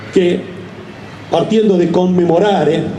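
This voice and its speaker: Audible room echo and noticeable background noise surround a man talking at a moderate pace with ordinary pitch variation. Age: 60s. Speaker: speaker at a commemoration ceremony. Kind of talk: public speech. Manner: halting, with self-corrections.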